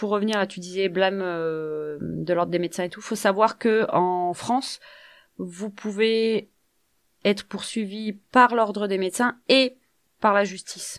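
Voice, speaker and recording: Very slow speech on a very clean recording against a silent background. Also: woman, medium pitch for a woman, ordinary pitch variation, big swings in loudness. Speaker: podcast co-host. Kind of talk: casual chat.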